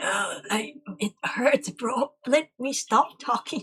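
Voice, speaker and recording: A man puts on a character voice with an extremely high pitch. He speaks at a very slow pace. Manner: pained, complaining.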